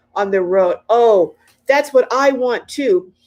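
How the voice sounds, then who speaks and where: A woman with a normal speaking voice, fairly high in pitch, speaks with lively intonation. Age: 60s. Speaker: RV lifestyle vlogger. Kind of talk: casual live-stream chat. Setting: live stream.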